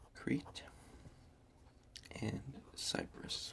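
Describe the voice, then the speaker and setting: A man speaks in a soft-spoken way. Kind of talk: ASMR history map tracing.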